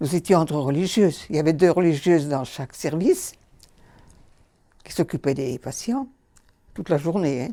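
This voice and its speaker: A woman speaks at a moderate pace in a very deep, low voice with a dark, mellow tone and ordinary pitch variation. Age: 80s+. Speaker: nun. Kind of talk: interview answer.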